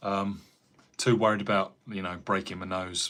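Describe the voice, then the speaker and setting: A man with an American accent speaks at a fairly slow pace in a relaxed, bright, sharp tone with fairly even intonation. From England, Cambridgeshire. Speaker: carpenter and YouTuber. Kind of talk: casual live-stream chat reading viewer comments. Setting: live stream at home. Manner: relaxed, chatty.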